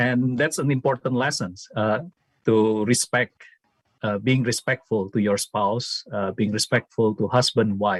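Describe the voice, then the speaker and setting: A man with an Indonesian accent speaks at a fairly slow pace, his medium pitch showing ordinary variation, in a dry, close sound with no echo. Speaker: former student, theology academic. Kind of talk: memorial tribute speech.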